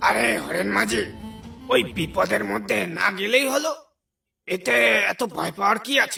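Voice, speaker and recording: In a cartoonish character voice, a man speaks with a raised, projected voice and a high pitch, with faint music in the background. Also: moderate pace. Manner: dismissive, bold.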